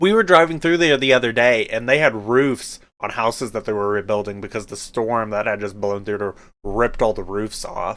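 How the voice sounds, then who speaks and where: A man with an American accent speaks at medium pitch and a moderate pace. His tone is animated, with ordinary pitch variation. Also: very clean recording, silent background. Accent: Oklahoma accent, comes out when aggravated. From Oklahoma. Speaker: podcast co-host. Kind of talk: casual chat.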